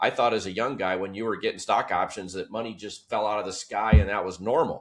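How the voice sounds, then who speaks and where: A man's fairly low voice, animated in tone, at a very fast pace over a quiet background. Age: 60s. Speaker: business executive and author. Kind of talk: podcast interview.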